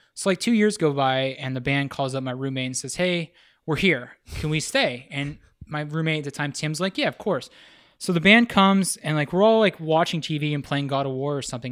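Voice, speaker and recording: A man with an American accent has an ordinary speaking voice, fairly high in pitch with ordinary pitch variation. He talks fairly quickly on a very clean recording with a silent background. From rural western Pennsylvania. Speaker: visual artist. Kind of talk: casual chat. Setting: artist's house room.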